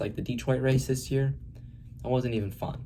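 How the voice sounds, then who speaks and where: A man talks at a fairly quick pace in a medium-pitched voice. His tone is dark and mellow, somewhat breathy, with ordinary pitch variation. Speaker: motorsport YouTuber. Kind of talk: unscripted race review monologue. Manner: fast; hesitant, many fillers.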